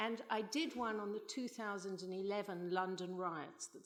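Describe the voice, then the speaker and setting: A fairly slow pace with ordinary pitch variation, in a South African accent. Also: woman. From South Africa, Johannesburg. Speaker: novelist and playwright. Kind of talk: conference panel talk.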